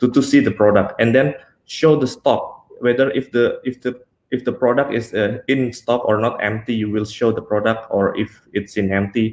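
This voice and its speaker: With an Indonesian accent, a man speaks at a moderate pace and medium pitch, keeping his intonation fairly even. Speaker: software engineer. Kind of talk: technical talk. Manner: halting, many fillers.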